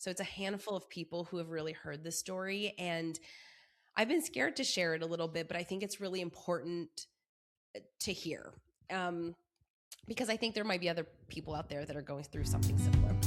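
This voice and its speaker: Speaking at a fairly quick pace yet with long, frequent pauses, a woman uses a fairly low pitch and ordinary pitch variation. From Montreal, Canada. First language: French. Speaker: wedding planner, business owner. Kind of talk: podcast interview.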